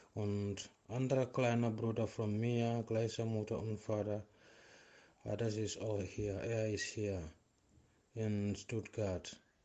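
A man with a non-native accent speaks at a very slow pace in a fairly low voice. His tone is dark and mellow, and his intonation is monotone and flat. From Gambia. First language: not German (speaking German). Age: 30s. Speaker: refugee interviewee, sports trainer. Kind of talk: interview. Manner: halting.

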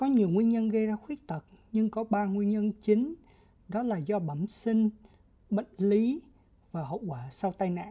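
A woman's fairly high, somewhat breathy voice with a dark, mellow tone, lively intonation and long, frequent pauses. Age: 20s. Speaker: podcast co-host, NGO communications officer. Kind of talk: scripted educational podcast.

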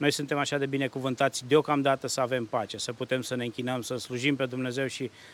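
Speaking at a fairly quick pace, a man has a plain, everyday voice at a medium pitch. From Romania, Hunedoara. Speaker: church worship musician. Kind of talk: interview. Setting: outdoors.

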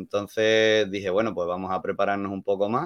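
Against a quiet background, a man talks at a fairly low pitch with fairly even intonation. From Andalusia, Málaga. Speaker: hospitality worker. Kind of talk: casual chat.

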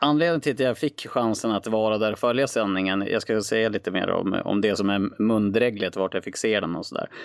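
A man talks at a fairly quick pace with hardly any pauses. His pitch is fairly low, with ordinary variation. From northern Sweden, Skellefteå. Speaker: guest, sports enthusiast. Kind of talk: casual interview.

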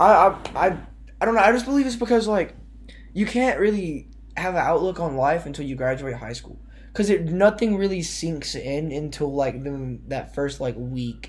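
A plain, everyday voice from a man, fairly high-pitched and moderately paced, with lively intonation. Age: young adult, around 20. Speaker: podcast host. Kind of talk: casual chat.

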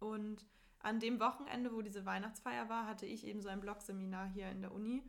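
A woman at medium pitch speaks at a fairly quick pace with fairly even intonation, and room echo is audible. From northern Germany, near Hamburg. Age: young. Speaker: university student. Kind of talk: casual chat. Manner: laughing often.

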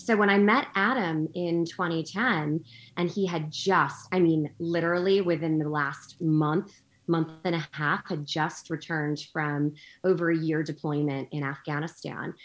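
With an ordinary speaking voice, a woman speaks at a fairly low pitch, a fairly slow pace and fairly even intonation over a quiet background. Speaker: guest, entrepreneur and military spouse. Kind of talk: casual interview chat.

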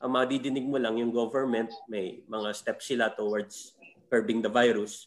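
At a moderate pace, a man talks with fairly even intonation in an ordinary speaking voice. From Philippines. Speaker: comedian. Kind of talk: casual chat.

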